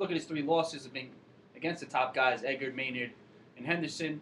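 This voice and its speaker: With a slight Long Island accent, a man speaks at a very fast pace in a fairly high pitch. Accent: slight Long Island New York. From Long Island, New York. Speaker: MMA fight pundit. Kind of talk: casual chat.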